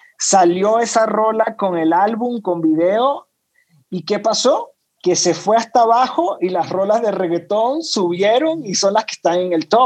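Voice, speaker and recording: This man has a high-pitched voice, talking at a fairly slow pace with ordinary pitch variation. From Venezuela (Caracas). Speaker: music industry executive. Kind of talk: interview.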